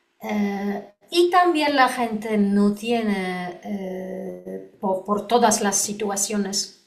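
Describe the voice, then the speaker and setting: The speaker has a Polish accent. Room echo is audible. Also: woman. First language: Polish (speaking Spanish). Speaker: lawyer and lecturer on EU wine law. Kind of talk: conference talk Q&A. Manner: halting, many fillers.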